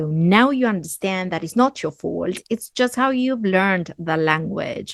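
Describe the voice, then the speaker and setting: A woman with an Argentine accent speaks at a medium pitch with lively intonation, her voice dry and close with no echo. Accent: Argentinian accent in English. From Argentina. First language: Spanish. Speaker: English teacher. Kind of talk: tutorial.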